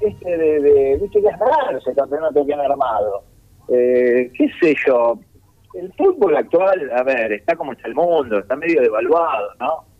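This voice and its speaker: A man with a fairly high pitch delivers lively intonation at a fairly slow speed, noticeable background noise audible behind him. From Argentina, Mar del Plata. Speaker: comedian. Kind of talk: casual interview.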